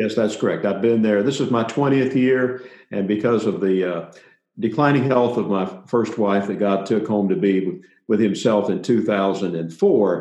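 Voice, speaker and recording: In a Tennessee accent, a man with a fairly low pitch and a dark, mellow tone speaks at a fairly slow pace amid audible room echo. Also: ordinary pitch variation. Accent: Southern US (Tennessee). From US South, Middle Tennessee. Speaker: pastor. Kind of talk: interview.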